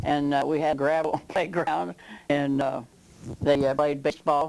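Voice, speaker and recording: Speaking fairly slowly with a Midwestern American accent, a woman uses a very deep, low pitch, ordinary pitch variation and very even loudness. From southwest Ohio. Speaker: local elder interviewee. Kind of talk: oral history interview. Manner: halting.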